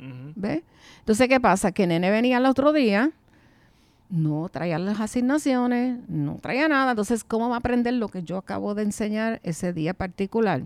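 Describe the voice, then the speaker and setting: Very wide pitch swings run through a woman's fairly high voice, captured on a very clean recording with a silent background. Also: moderate pace. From New York City, then Puerto Rico (Quebradillas) from age 13. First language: English (speaking Spanish). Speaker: retired English teacher. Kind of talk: casual interview.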